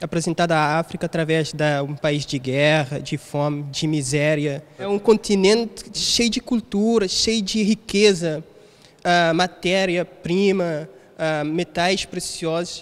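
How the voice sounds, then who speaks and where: The speech comes at a very slow pace. Pitch variation is ordinary. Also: man, high pitch for a man. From Cape Verde. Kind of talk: panel discussion. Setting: museum. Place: hall. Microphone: handheld.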